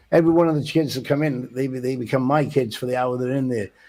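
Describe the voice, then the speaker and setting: With a Welsh accent, a man talks at a medium pitch in a dark, mellow tone with ordinary pitch variation. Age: 60s. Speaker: boxing coach. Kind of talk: radio interview. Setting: studio. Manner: halting.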